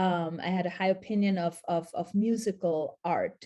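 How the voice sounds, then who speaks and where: With a German accent, a woman talks at medium pitch in a dark, mellow tone, her intonation fairly even. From Austria/Switzerland, multilingual upbringing. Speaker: documentary filmmaker and professor. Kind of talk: interview.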